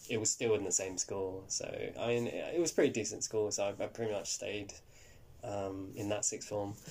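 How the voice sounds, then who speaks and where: A somewhat breathy man with a London accent, fairly low in pitch, at a moderate pace with ordinary pitch variation. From West London, England. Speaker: actor. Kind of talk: interview. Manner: halting.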